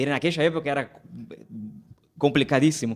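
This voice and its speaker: A man speaks with a Brazilian accent. The recording is very clean, with a silent background. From Brazil, Rio de Janeiro. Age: 20s. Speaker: pastor. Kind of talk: casual chat.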